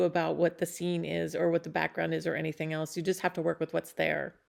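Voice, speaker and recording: A woman's fairly low voice with vocal fry, a very fast pace and fairly even intonation, against a quiet background. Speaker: photographer. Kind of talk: casual vlog commentary. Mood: warm, reflective.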